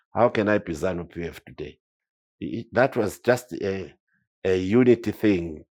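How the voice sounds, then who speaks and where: Very clean and silent in the background, the recording holds a man's very deep, low voice with lively intonation. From Zimbabwe, Matabeleland (Nkosikazi area). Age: 70s. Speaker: war veteran. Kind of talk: interview. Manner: animated, repetitive stammering.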